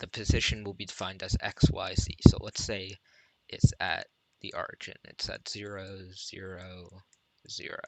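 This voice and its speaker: A quiet man speaks with big swings in loudness and long, frequent pauses, in a dry, close sound with no echo. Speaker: programming tutor streamer. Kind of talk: live-streamed tutorial. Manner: quiet, subdued; flat, low energy.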